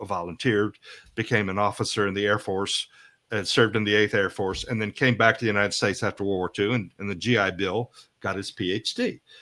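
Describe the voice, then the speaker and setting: Here a man with an American accent speaks at a fairly quick pace. His intonation stays monotone and flat. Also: very clean recording, silent background. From USA, grew up partly abroad. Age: 70s. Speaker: professor, economics expert. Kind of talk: interview. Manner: halting, many restarts.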